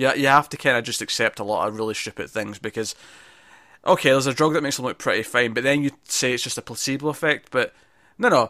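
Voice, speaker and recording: Talking at a very fast pace, a man with a medium pitch and ordinary pitch variation has a bright, sharp tone, heard dry and close with no echo in a very clean recording against a silent background. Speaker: podcast host. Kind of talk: casual podcast chat, episode review. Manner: hesitant, stammering, jokey.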